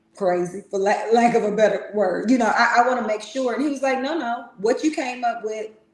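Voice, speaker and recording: A woman speaks at a fairly high pitch and a moderate pace, with ordinary pitch variation. Audible room echo surrounds her voice. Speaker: relationship podcast co-host. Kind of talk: casual chat. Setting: livestream. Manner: loud.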